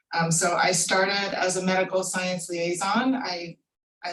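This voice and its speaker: An unremarkable speaking voice with an American accent, fairly even intonation and a fairly slow pace. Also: woman. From US Mid-Atlantic, southern Maryland. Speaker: pharmaceutical scientist. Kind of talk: career talk.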